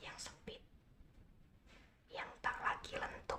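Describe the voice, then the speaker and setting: Whispered speech comes through in a calm tone. There is noticeable background noise. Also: woman. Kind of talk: slow poetry reading. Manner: whispered, soft, calm.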